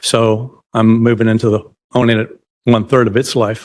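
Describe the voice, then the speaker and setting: Here a man talks at a moderate pace. His voice is medium in pitch. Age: 60s. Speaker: property owner applicant. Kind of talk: testimony. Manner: halting.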